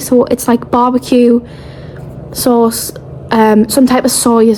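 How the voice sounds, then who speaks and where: A woman mumbles in a British accent at a fairly high pitch. Noticeable background noise sits behind her. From England. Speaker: travel vlogger. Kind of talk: casual vlog chat. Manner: mumbling.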